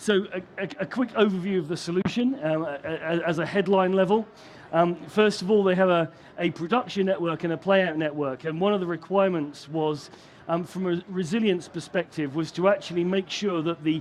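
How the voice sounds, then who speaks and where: A man's high voice at a fairly quick pace, in a British accent with ordinary pitch variation. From UK. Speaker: broadcast technology vendor engineer. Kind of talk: conference presentation. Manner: hesitant, many fillers and restarts.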